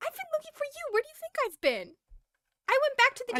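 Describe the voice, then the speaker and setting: This put-on character voice is squeaky, with very wide pitch swings at a very fast pace. The sound is dry and close, with no echo. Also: woman, extremely high pitch for a woman. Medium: game stream. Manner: bossy, big-sisterly.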